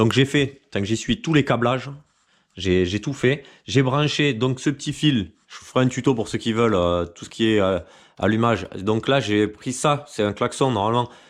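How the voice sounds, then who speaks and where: A man at medium pitch, moderate pace and ordinary pitch variation, in a very clean recording with a silent background. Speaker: moped restoration youtuber. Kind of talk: casual workshop tutorial. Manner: hesitant, many fillers.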